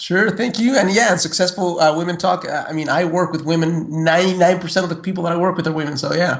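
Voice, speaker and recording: Against noticeable background noise, a man with a high pitch talks at a very fast pace with hardly any pauses and fairly even intonation. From Mexico City, Mexico. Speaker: personal development coach. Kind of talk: interview. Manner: halting, many fillers and repeats.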